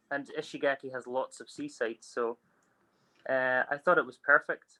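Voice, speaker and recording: In a Scottish accent, the speaker keeps a moderate pace and a monotone, flat intonation, with a bright, sharp tone, big swings in loudness and a dry, close sound with no echo. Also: man, fairly high pitch for a man. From Scotland. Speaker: food truck owner. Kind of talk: interview answer.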